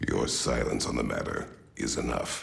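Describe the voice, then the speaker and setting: A man does a put-on character voice, raspy and very deep in pitch, at a moderate pace. Clear background noise is present. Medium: machinima. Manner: terse, grave.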